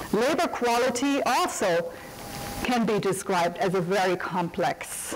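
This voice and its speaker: A woman with a German accent at a fairly slow pace, very wide pitch swings, audible room echo and noticeable background noise. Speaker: economics professor and academic administrator. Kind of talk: lecture. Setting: seminar room with audience. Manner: formal.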